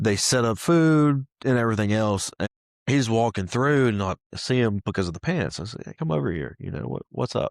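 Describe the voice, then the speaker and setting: A man with a Southern US accent at a moderate pace, very wide pitch swings, dry, close sound with no echo, and a very clean recording over a silent background. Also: medium pitch for a man. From US South, Mississippi. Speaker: pressure washing business owner. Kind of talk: testimony. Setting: studio. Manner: animated.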